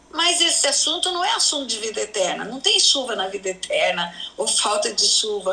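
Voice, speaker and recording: A woman's high, raised, projected voice with very wide pitch swings at a moderate pace, over noticeable background noise. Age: 70s. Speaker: pastor. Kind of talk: religious teaching in interview.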